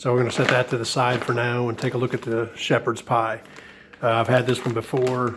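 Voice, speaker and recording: Rather quick speech amid clearly audible background noise. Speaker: ration reviewer. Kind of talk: casual talk to camera.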